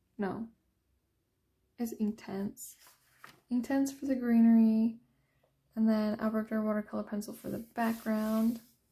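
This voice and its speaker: A woman's fairly high, somewhat breathy voice with a dark, mellow tone, flat monotone delivery, a fairly slow pace and long, frequent pauses. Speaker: coloring hobbyist youtuber. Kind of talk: casual show-and-tell.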